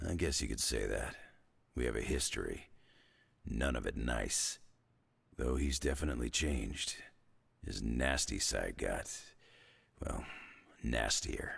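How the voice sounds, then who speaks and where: Using a put-on character voice, a man speaks at a moderate pace in a very deep, low, raspy pitch with long, frequent pauses. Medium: video game. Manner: gruff, dry, sarcastic.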